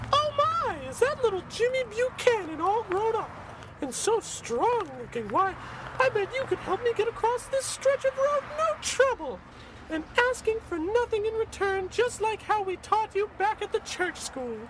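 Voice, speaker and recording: Against clear background noise, a woman uses a squeaky put-on character voice at an extremely high pitch, with lively intonation and a moderate pace. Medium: audio drama. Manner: prim, sweetly scolding.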